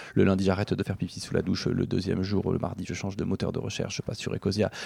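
Vocal fry runs through a dark, mellow tone at a very fast pace. The sound is dry and close, with no echo. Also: man. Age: 40s. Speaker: book publisher. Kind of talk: interview conversation. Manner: hesitant with fillers.

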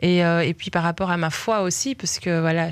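In a very clean recording with a silent background, a woman speaks fairly slowly in an unremarkable speaking voice with a fairly low pitch. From Belgium, Liège. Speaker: singer. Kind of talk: interview.

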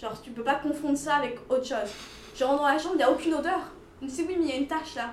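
Over noticeable background noise and audible room echo, a woman speaks very fast in a high pitch. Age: 20s. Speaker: student. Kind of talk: casual chat.

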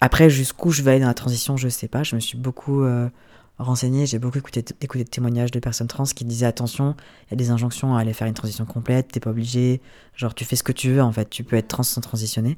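Speaking at a very fast pace, a man with a medium pitch and a dark, mellow tone keeps a monotone, flat intonation in a very clean recording with a silent background. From France, Ardèche. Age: 30s. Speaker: photographer and business owner. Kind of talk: interview. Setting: apartment living room.

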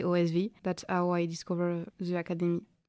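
With a French accent, a woman speaks at a medium pitch in a very clean recording with a silent background. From western France (Arcachon). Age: 20s. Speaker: student. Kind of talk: casual interview.

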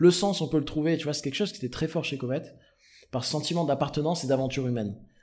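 A man with a fairly high, somewhat breathy voice talks very fast, with ordinary pitch variation and big swings in loudness. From southern France, Provence/Marseille. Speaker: startup founder and CEO. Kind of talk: casual interview.

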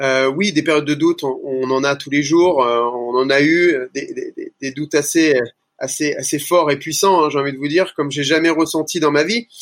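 Pitched fairly high, a man talks at a moderate pace. His intonation stays fairly even. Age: 30s. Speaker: gym franchise owner. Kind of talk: interview. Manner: halting.

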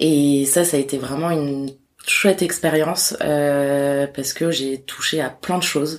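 With a very deep, low pitch, a woman speaks fairly slowly in monotone, flat intonation. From Corsica. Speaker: publishing house bookseller liaison. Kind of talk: interview.

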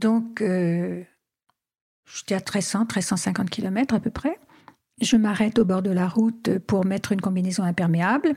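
A woman speaks very slowly at medium pitch, somewhat breathy, with a dark, mellow tone. Her pitch variation is ordinary, and she takes long, frequent pauses. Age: 70s. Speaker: adventurer and travel writer. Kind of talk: interview. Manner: hesitant.

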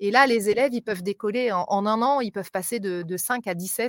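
Pitch varies in an ordinary way, and the sound is dry and close with no echo. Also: woman. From France (Mont-de-Marsan area), partly raised in Africa. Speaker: English and maths teacher. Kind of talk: live interview. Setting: outdoors, live video stream. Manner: talkative.

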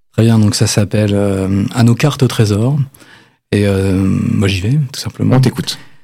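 This man's voice has a dark, mellow tone, fairly low pitch with ordinary variation, and a fairly slow pace. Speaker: singer-songwriter guest. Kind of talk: casual interview chat. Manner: jokey, chatty, laughing.

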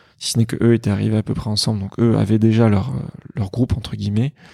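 Fairly quick in pace, a man speaks at a fairly low pitch with ordinary variation, in a dark, mellow tone that is somewhat breathy. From France, partly raised in Greece. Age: 30s. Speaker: emergency doctor and app creator. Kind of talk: casual interview. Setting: at the host's home.

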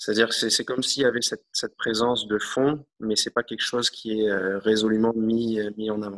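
Delivered at a fairly quick pace with hardly any pauses, a man's medium-pitched voice stays monotone and flat in a dry, close sound with no echo. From New Caledonia. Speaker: interviewee. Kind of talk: interview testimony. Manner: hesitant, repeats words.

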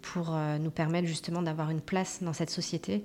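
Fairly low in pitch, a woman speaks with fairly even intonation. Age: 40s. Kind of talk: interview. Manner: halting.

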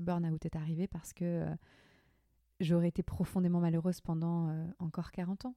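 Her fairly low, dark and mellow voice stays monotone and flat as the woman speaks at a moderate pace. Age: 20s. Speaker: entrepreneur. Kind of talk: casual interview about burnout.

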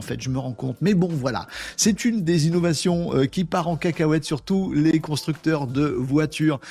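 A man's somewhat breathy voice has a dark, mellow tone and a fairly high pitch, moving at a moderate pace with ordinary pitch variation. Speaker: livestream host. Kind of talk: casual live chat with viewers. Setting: live stream with chat comments. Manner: animated, informal.

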